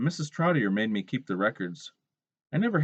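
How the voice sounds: The background stays quiet. Over it, a natural reading voice is heard.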